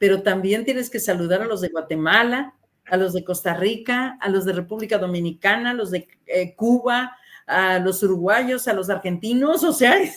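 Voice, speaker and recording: A woman in a normal speaking voice talks at medium pitch and a moderate pace, with ordinary pitch variation. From Mexico. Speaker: radio announcer. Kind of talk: interview answer.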